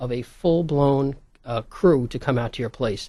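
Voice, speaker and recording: A man speaks with a New York accent. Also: quiet background. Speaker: video production business owner. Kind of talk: interview.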